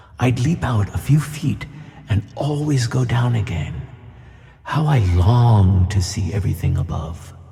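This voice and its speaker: A man speaks at a fairly slow pace in a put-on character voice, his pitch medium. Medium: audio drama. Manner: gentle and kindly.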